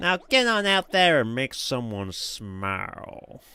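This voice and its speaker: In a very clean recording with a silent background, a cartoonish character voice speaks at a fairly slow pace. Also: man, high pitch for a man. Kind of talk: stylized cartoon voice. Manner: chipper, peppy, encouraging.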